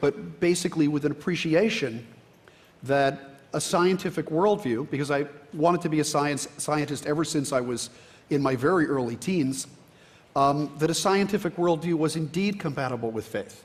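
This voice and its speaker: A man with an American accent speaks at a moderate pace, his voice somewhat breathy and his pitch variation ordinary. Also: fairly high pitch for a man. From New Jersey. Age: 60s. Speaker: biology professor. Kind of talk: panel discussion. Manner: halting, many fillers.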